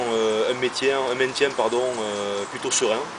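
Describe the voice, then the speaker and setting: Over noticeable background noise and audible room echo, a man talks at a moderate pace in a medium pitch. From southern France, Béziers (Hérault). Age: 40s. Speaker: rugby club director, former rugby player. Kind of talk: interview. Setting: outdoors at a stadium. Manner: hesitant, many fillers.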